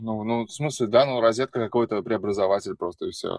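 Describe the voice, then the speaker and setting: A man talks at a fairly quick pace with medium pitch and a normal speaking voice. The sound is dry and close with no echo, against a quiet background. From Russia, Samara. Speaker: musician. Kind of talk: casual chat.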